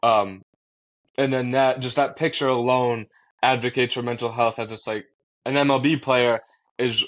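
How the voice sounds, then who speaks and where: In a Boston accent, a man talks at a medium pitch. His intonation stays monotone and flat. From Massachusetts, US. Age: young. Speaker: college student and mental health advocate. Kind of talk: podcast interview. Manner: casual with fillers.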